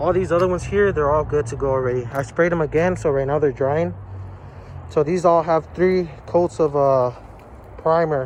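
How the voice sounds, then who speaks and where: In a normal speaking voice, a man talks at a moderate pace with fairly high pitch and ordinary pitch variation. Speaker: DIY car repair youtuber. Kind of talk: tutorial. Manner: casual.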